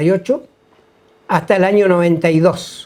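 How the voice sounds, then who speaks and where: A man's dark, mellow voice, high in pitch, at a moderate pace. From Neuquén, Argentina (Andacollo). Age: 60s. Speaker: retired health worker. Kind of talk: interview testimony. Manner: halting, many fillers.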